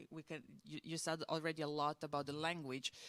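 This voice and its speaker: This voice belongs to a woman talking at a moderate pace. The sound is dry and close, with no echo. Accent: Croatian. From Croatia. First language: Croatian. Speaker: museum curator. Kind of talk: on-stage interview.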